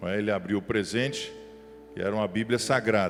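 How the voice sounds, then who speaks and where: A man with a medium-pitched voice talks over music in the background. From Minas Gerais, Brazil (Belo Horizonte). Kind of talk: sermon. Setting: church with live audience.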